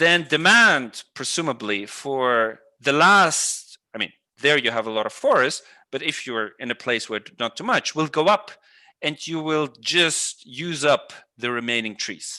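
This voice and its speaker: Over a quiet background, a man with a fairly high pitch talks at a fairly slow pace with lively intonation. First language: Russian. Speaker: economics professor. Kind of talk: online lecture Q&A.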